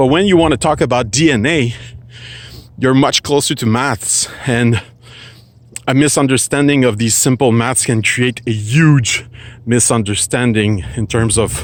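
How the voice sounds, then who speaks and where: A man at medium pitch and a moderate pace, with ordinary pitch variation. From Quebec, Canada. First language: French. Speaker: philosophy vlogger. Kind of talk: casual talk to camera. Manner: halting, searching for words.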